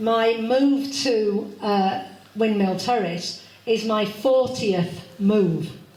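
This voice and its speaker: A woman's fairly high voice at a very slow pace, with ordinary pitch variation, audible room echo and noticeable background noise. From Yorkshire, Leeds (later Devon). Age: 60s. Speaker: astrology speaker, funeral celebrant. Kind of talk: public talk.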